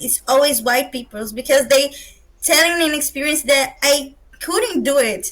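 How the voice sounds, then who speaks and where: A woman with a high pitch speaks in a Brazilian Portuguese accent. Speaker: roundtable participant, fan fiction reader. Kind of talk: academic roundtable discussion. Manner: halting, searching for words.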